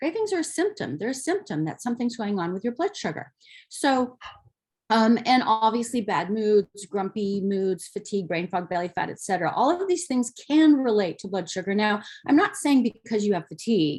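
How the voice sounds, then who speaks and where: Very wide pitch swings in a woman's somewhat breathy delivery. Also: fairly high pitch for a woman, moderate pace. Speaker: naturopathic doctor. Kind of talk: lecture. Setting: slide presentation.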